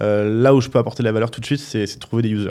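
A man talks at a medium pitch. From Paris, France. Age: 30s. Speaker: startup founder and CEO. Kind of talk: casual interview chat. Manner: hesitant, many fillers.

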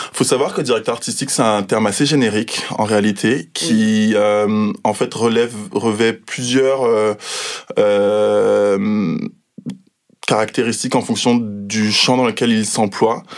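A man with a fairly low pitch, very slow, fairly even in intonation and very even in loudness. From Guadeloupe. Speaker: fashion art director. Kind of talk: interview. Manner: hesitant, many fillers.

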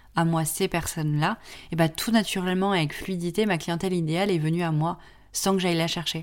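The speaker is a woman at a moderate pace. Her pitch is fairly low. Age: 20s. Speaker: podcast host and graphic design studio founder. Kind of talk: casual solo podcast monologue. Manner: hesitant, many fillers.

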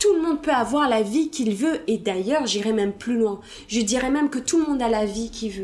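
Noticeable background noise sits under the speech. The pace is moderate and the pitch varies in an ordinary way. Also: woman. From Belgium. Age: 30s. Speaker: hip-hop dancer and speaker. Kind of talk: interview. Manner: hesitant, many fillers.

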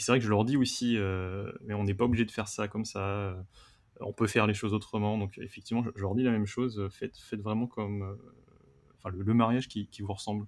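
This man talks at a fairly low pitch. His intonation is monotone and flat, at a fairly quick pace. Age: 30s. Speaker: wedding photographer. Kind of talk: casual roundtable chat. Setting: remote video call. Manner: halting, many repetitions.

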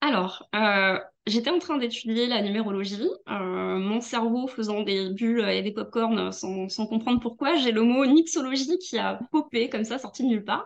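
Delivered at a fairly slow pace, this is an unremarkable speaking voice with ordinary pitch variation. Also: woman, fairly high pitch for a woman. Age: 40s. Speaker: music journalist and tarot reader. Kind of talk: casual chat. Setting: video call.

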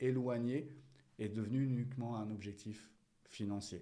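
Dark, mellow tones from a man amid audible room echo. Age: 40s. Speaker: entrepreneur and business coach, former soldier. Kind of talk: interview conversation.

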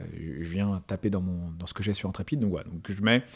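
This man speaks at a fairly quick pace. The recording is very clean, with a silent background. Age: 30s. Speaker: fintech entrepreneur. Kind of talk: interview. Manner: halting, many fillers.

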